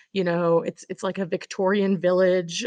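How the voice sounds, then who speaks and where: Here is a plain, everyday voice with an American accent at a moderate pace. The sound is dry and close with no echo, over a quiet background. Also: woman. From Oklahoma, small town. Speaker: tourism director. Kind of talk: interview.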